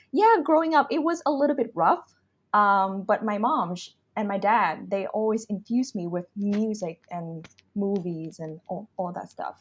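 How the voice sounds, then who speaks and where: A woman's somewhat breathy, medium-pitched voice at a moderate pace, with very wide pitch swings and a quiet background. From Vietnam, Saigon. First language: Vietnamese. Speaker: vocalist and MC. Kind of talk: podcast interview. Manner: hesitant, many fillers.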